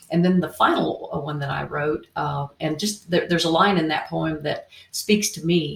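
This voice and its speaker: A woman with a slight Tennessee accent, at a fairly slow pace. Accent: Southern US, Tennessee, slight. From Indiana, US Midwest. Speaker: co-author, radio host and artist. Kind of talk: casual interview chat.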